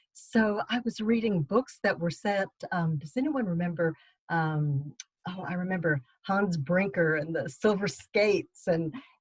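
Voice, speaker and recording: With a slight Texas accent, a woman speaks at a fairly slow pace. Her medium-pitched voice has lively intonation. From Texas, Austin. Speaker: novelist. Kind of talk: book club talk.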